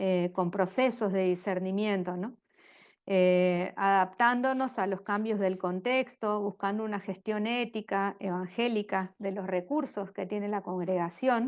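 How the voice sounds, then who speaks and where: A woman speaks at a medium pitch with fairly even intonation. Her pace is fairly slow, and the background is quiet. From Argentina. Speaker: religious sister, speaker on governance. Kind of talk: lecture. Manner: halting, many fillers.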